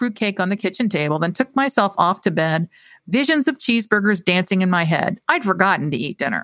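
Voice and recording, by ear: Lively intonation comes through as the text is read aloud in a natural voice.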